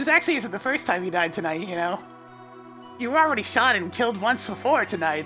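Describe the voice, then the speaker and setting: A woman's put-on character voice at a medium pitch and a very fast pace, with clear music in the background. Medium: game stream. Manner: dry, deadpan.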